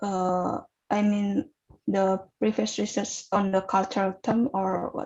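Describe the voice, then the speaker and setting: In an Indonesian accent, a woman speaks at a very slow pace with a medium pitch and fairly even intonation. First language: Javanese. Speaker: student researcher presenting paper. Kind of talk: Q&A session at academic webinar. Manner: halting, many fillers.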